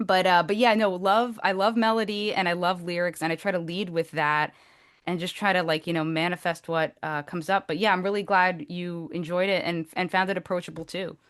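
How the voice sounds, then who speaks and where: A woman's fairly low voice with a New Jersey accent, over a quiet background. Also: fairly even intonation, fairly quick pace. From New Jersey, Essex County area. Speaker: singer-songwriter. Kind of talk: podcast interview.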